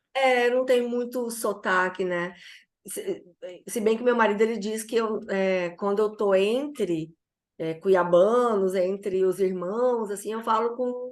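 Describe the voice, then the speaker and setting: A woman's very slow delivery with ordinary pitch variation. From Brazil, Cuiabá (Mato Grosso). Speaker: former professor and mentor. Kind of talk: interview. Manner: halting.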